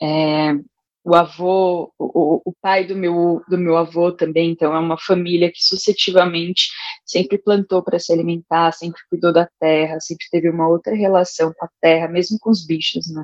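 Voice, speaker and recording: A woman with a fairly low voice talks at a moderate pace in a monotone, flat delivery. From São Paulo, Brazil (Itaim Paulista, east zone). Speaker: art educator. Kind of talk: casual chat.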